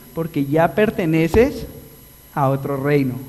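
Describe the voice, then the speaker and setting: A man speaks with a Colombian accent at a fairly high pitch. There is noticeable noise in the background. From Colombia (Antioquia, paisa region). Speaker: pastor. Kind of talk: sermon. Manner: animated.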